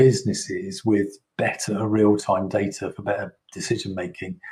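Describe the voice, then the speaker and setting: A man speaks with a British accent at a moderate pace, his voice somewhat breathy. His pitch is fairly low, with ordinary pitch variation. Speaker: software vendor presenter. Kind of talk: product presentation. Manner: halting, many fillers.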